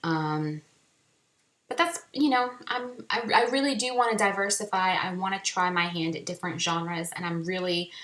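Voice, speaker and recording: A woman with a medium pitch speaks at a moderate pace, her tone animated and her intonation lively. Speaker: indie author. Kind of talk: casual chat.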